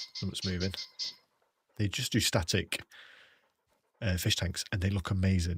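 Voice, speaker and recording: A man's very deep, low voice with a British accent, somewhat breathy and monotone in flat intonation, broken by long, frequent pauses on a very clean recording with a silent background. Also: moderate pace. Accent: British, sometimes taken for Australian. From England. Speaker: gaming streamer. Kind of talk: casual live stream chat. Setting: live stream. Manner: casual, rambling.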